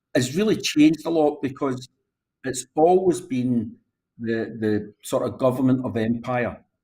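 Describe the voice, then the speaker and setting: This man speaks with a Glasgow accent and a dark, mellow tone at medium pitch. His pace is fairly slow, with ordinary pitch variation. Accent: Scottish, Glasgow. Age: 60s. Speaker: politician. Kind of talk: current affairs interview.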